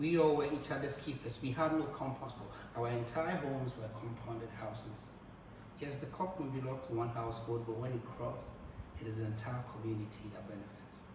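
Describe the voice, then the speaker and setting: Noticeable background noise runs under the recording. A man talks fairly quickly at a medium pitch with ordinary pitch variation. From Ghana. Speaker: spoken word poet. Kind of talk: live spoken word poetry.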